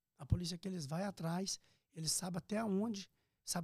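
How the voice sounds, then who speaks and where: A man with a high voice and ordinary pitch variation, recorded dry and close with no echo. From Brazil, Minas Gerais, raised in Piracicaba, São Paulo. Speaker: restaurant owner. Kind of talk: casual interview, life story.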